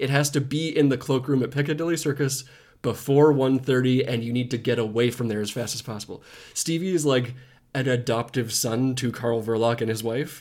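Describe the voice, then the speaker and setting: Speaking at a moderate pace, a man with an ordinary speaking voice keeps a medium pitch and fairly even intonation. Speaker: podcast host. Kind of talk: casual chat.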